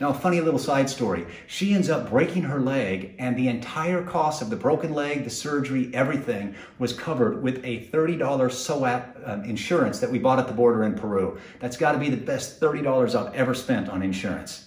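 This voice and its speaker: There is audible room echo around this man's voice. He talks at a fairly quick pace. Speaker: travel vlogger. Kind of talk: casual vlog chat. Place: home room. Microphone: lapel.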